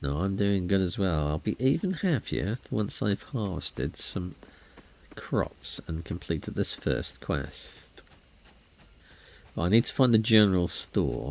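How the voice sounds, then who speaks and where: In a British accent, a man with a very deep, low voice speaks at a fairly slow pace, his pitch swinging very widely. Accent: UK. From UK. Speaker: gaming streamer. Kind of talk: let's play commentary with reading game dialogue. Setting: live stream.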